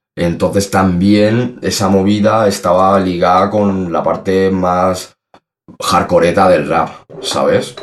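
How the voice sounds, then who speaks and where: A man with a very deep, low voice speaks very slowly in a flat monotone, his loudness very even, with audible room echo. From Spain, Salamanca. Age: 30s. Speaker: rapper. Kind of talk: casual interview.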